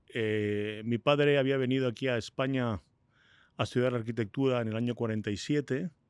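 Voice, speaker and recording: Speaking at a fairly quick pace, a man holds a medium pitch with fairly even intonation. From Spain (Madrid). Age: 60s. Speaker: entrepreneur. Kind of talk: interview. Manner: hesitant fillers.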